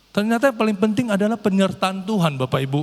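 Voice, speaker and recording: Noticeable background noise surrounds a man speaking very fast in a high voice. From North Sumatra, Indonesia. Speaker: lay preacher. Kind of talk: sermon. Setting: church. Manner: occasional repetitions and false starts.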